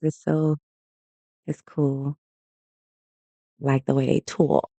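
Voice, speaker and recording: With a Southern US accent, a man speaks at a fairly slow pace in a fairly high pitch with a dark, mellow tone, recorded dry and close with no echo. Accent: Southern US, country. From US South. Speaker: day trader streamer. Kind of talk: live trading commentary. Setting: livestream. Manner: casual, conversational.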